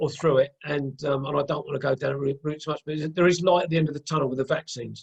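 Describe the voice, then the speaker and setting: A man's fairly high, somewhat breathy voice, very fast with hardly any pauses, monotone and flat, in a dry, close sound with no echo. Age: 60s. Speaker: podcast host interviewing a guest. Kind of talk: casual interview chat. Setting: video call. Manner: halting, many fillers and repeats.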